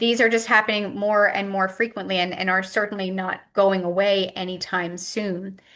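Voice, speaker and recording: Her medium-pitched voice has a bright, sharp tone as this woman speaks at a moderate pace with flat, monotone intonation. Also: hardly any pauses. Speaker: physician and medical professor. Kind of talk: lecture.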